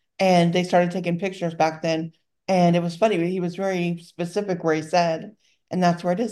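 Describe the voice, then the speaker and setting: In a Southern US accent, a woman talks at a fairly quick pace with a fairly low pitch and a dark, mellow tone against a quiet background. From Louisiana, US South. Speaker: podcast host and bracelet seller. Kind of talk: casual chat podcast.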